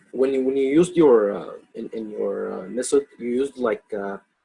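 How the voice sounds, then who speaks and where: Heard in a dry, close sound with no echo, a speaker with a slight non-native accent talks at a moderate pace with big swings in loudness. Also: man. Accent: slight foreign. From outside the US. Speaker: webinar participant asking questions. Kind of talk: question and answer webinar. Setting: video call with screen share. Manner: halting. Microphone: poor voice quality.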